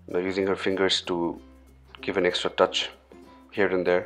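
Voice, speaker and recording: A man's very deep, low voice in monotone, flat intonation, with music in the background. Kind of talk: comedic voice-over commentary. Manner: joking, playful.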